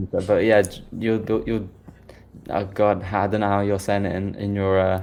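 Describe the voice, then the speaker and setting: At a moderate pace, a British-accented voice speaks in a monotone, flat intonation with audible room echo. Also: man, fairly low pitch for a man. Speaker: software developer. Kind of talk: interview.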